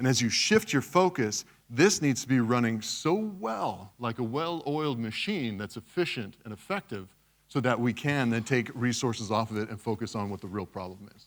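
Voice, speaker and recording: Using lively intonation and big swings in loudness, a man with an American accent speaks at a moderate pace in a medium pitch. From West Texas, US. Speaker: cybersecurity speaker. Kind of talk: conference talk. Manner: casual, conversational.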